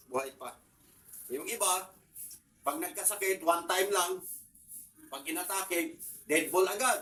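A man projects his voice loudly, high-pitched with a bright, sharp tone. His intonation is lively, broken by long, frequent pauses. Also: moderate pace. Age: 60s. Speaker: vlogger. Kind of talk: casual talk to camera. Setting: at home. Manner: halting.

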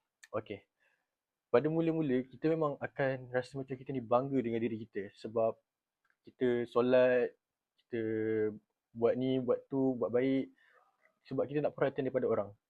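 At a moderate pace, a man talks at a medium pitch with fairly even intonation and long, frequent pauses. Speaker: university student. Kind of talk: class presentation.

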